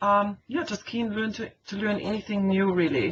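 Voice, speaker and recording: A woman speaks at medium pitch with an Austrian accent. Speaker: teacher. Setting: online meeting. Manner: hesitant, many fillers.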